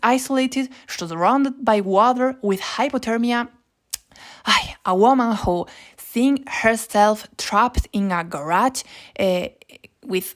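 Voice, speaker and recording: A woman's fairly high voice with ordinary pitch variation and a Spanish accent. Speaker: YouTuber. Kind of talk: informative explainer. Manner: halting.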